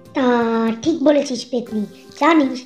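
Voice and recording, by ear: Over clear background music, a cartoonish character voice moves at a moderate pace. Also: woman.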